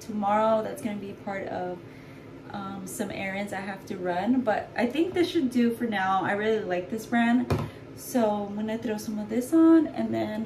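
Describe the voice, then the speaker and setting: Noticeable noise sits in the background. A woman speaks at a moderate tempo. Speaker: vlogger. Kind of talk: casual vlog chat. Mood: cheerful, chatty. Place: bathroom. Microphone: phone near.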